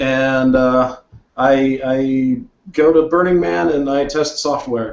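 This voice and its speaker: A man speaks in a normal speaking voice at medium pitch, with ordinary pitch variation. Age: 30s. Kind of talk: casual chat.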